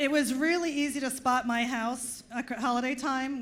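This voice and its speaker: A woman speaks at a fairly quick pace, and audible room echo surrounds her voice. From US Northeast (Long Island, New York). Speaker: comedian. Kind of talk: stand-up. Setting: stage with audience.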